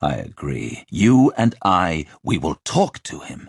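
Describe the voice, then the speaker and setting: In a put-on character voice, a man growls at a very deep, low pitch and a fairly slow pace, with very wide pitch swings, big swings in loudness and a dry, close sound with no echo. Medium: read story.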